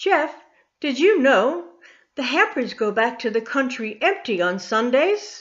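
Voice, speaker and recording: Putting on a character voice, a woman speaks at a fairly slow pace in a warm tone with a high pitch. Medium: read story. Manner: warm, motherly.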